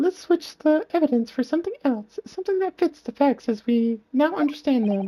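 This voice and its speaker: In a put-on character voice with a gentle tone, the speaker moves at a moderate pace with hardly any pauses and very wide pitch swings. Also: woman, high pitch for a woman. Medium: game stream. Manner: polite, gentle.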